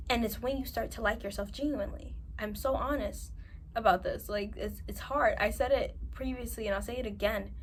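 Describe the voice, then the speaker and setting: A woman talks fairly quickly, her words carrying audible room echo. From New York. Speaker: self-improvement vlogger. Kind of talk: advice monologue to camera. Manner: animated.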